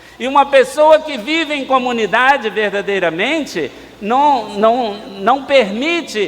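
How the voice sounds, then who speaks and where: Amid noticeable background noise, a man talks with lively intonation at an extremely high pitch. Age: 60s. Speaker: priest. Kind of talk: sermon.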